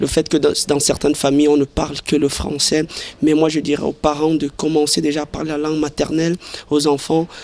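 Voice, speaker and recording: Here a man talks at a fairly quick pace with a fairly high pitch. His intonation is monotone and flat. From Cameroon, Ocean region. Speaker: interviewee. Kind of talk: vox pop interview. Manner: halting, repeats words.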